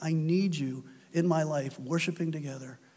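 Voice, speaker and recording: A man speaks in an ordinary speaking voice, with ordinary pitch variation. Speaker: preacher. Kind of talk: sermon closing with a fervent, earnest prayer, reverent and heartfelt. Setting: church. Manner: earnest, solemn, fervent.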